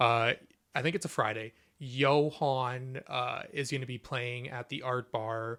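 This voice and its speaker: In a very clean recording with a silent background, a man talks at a medium pitch. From Ontario, Canada (Niagara Falls). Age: 20s. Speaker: artist collective founder. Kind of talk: interview. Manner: animated.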